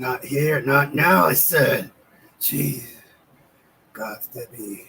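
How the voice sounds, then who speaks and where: Putting on a raspy character voice, a man speaks very slowly at a medium pitch. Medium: actual play. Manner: blunt, gruff.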